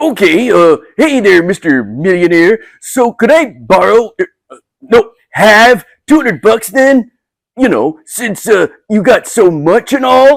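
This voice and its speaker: Drawling in a put-on character voice, a man speaks at a high pitch and fairly slow pace, in a dry, close sound with no echo. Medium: comedy sketch. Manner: casual, drawling, full of fillers.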